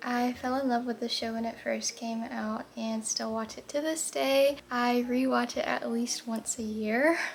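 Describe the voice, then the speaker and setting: Against noticeable background noise, a woman with an American accent and a high pitch talks at a fairly slow pace, with fairly even intonation and hardly any pauses. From Florida. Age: 20s. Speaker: lifestyle vlogger. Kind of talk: get-ready-with-me vlog. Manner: calm, slow.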